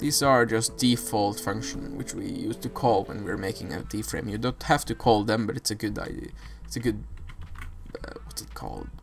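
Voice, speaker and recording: Over noticeable background noise, a man speaks with a non-native accent. He keeps a moderate pace and makes big swings in loudness. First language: not English. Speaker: programming tutorial maker. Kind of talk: tutorial. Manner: halting, with self-corrections.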